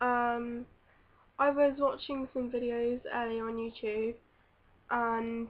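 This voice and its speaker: A woman talks at a fairly high pitch. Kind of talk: casual vlog talk to camera.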